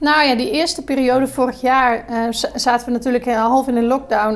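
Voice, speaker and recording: Against noticeable background noise, a woman speaks with a high pitch and fairly even intonation. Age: 30s. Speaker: hospitality entrepreneur and hotel manager. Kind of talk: podcast interview. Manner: hesitant, many filler sounds.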